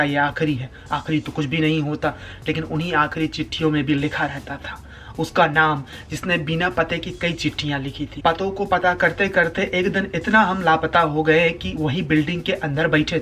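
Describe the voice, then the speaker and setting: A man has an ordinary speaking voice at a fairly high pitch. His intonation stays fairly even. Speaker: spoken word poet. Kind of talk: spoken word poetry performance.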